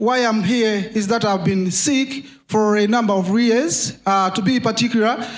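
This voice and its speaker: Music plays behind a man speaking at a high pitch. He goes at a fairly slow pace with fairly even intonation. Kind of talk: testimony. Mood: earnest, recounting illness. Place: church. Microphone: handheld.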